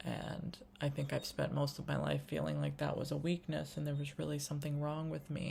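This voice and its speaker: A soft-spoken woman talks at a moderate pace. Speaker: spiritual vlogger. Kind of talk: casual monologue vlog. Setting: home kitchen. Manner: quiet, soft-spoken; free-flowing, hesitant with many fillers.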